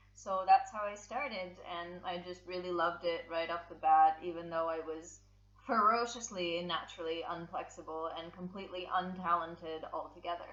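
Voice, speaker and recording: With an American accent, a woman speaks at a fairly low pitch and fairly even intonation, her loudness swinging widely, amid noticeable background noise and audible room echo. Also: moderate pace. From US West Coast (San Francisco), born in Russia. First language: Russian. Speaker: circus contortionist. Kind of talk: casual interview chat. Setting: podcast.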